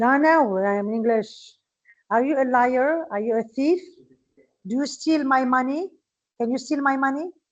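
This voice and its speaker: A woman with a Moroccan accent, high in pitch, with ordinary pitch variation and long, frequent pauses. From Morocco. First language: Moroccan Arabic. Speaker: English teacher. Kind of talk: lecture. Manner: slow.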